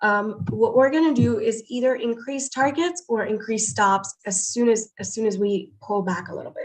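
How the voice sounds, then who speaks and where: Moving at a moderate pace with hardly any pauses, a woman speaks at a fairly high pitch with ordinary pitch variation. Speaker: day trader streaming live. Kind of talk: live trading commentary. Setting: home livestream, windows open. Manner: animated.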